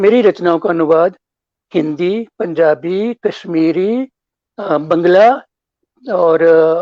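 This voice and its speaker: In a dry, close recording with no echo, a man with a high pitch and a dark, mellow tone talks with ordinary pitch variation and long, frequent pauses. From Jammu, Udhampur. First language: Dogri (speaking Hindi). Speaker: author and former broadcaster. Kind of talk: interview. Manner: formal; halting.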